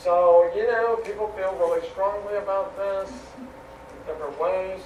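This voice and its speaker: Audible room echo surrounds the man's voice. Beneath it sits noticeable background noise. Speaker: seminary professor. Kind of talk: lecture. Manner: halting.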